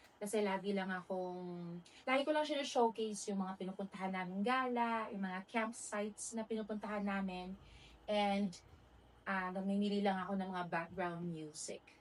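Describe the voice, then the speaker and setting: This woman's voice sits at a medium pitch with ordinary pitch variation. She keeps a moderate pace. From Philippines. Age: 40s. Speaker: vlogger. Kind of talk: casual talk to camera. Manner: hesitant, awkward.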